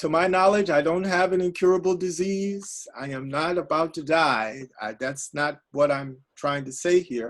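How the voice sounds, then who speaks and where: Moving at a moderate pace with hardly any pauses, a man with a normal speaking voice and a fairly high pitch shows ordinary pitch variation and big swings in loudness. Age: 60s. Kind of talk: casual chat.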